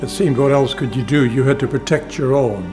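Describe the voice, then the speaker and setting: Music plays behind a man speaking at a medium pitch. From Ukraine. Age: 90s. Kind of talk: interview answer.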